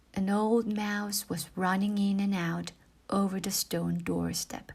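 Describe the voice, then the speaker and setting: This speaker is soft-spoken. The words come out at a very slow pace. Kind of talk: bedtime story reading. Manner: slow, soft; quiet.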